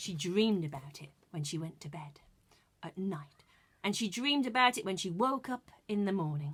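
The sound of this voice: The voice carries a slightly husky edge and lively intonation. Its pace is moderate. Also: woman, medium pitch for a woman.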